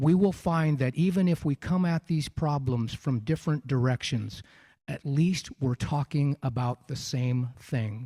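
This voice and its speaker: A man's fairly high, dark, mellow, somewhat breathy voice at a fairly slow pace with ordinary pitch variation, in a very clean recording with a silent background and a dry, close sound with no echo. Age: 60s. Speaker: congressional candidate. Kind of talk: campaign closing statement.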